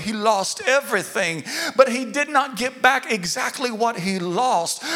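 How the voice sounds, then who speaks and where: An animated voice moves at a fairly slow pace over noticeable background noise. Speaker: pastor. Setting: church with a live congregation. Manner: animated, call-and-response, urging the crowd with repeated phrases; emphatic and repetitive, building rhythm through repeated words.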